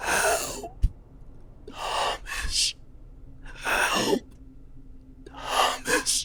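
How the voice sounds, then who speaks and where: An extremely high-pitched put-on character voice over clear background noise. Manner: desperate, pleading.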